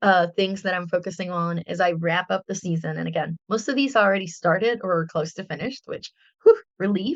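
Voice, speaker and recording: A woman with a Spanish accent talks at a fairly quick pace in a medium pitch. Her pitch varies in an ordinary way, and the sound is dry and close with no echo. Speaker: artist and podcast host. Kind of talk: casual chat.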